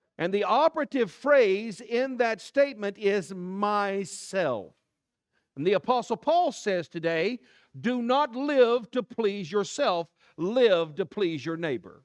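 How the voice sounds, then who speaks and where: With an American accent, a man speaks very slowly in a high voice with lively intonation, recorded with a dry, close sound with no echo against a quiet background. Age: 60s. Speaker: pastor. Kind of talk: sermon. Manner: animated.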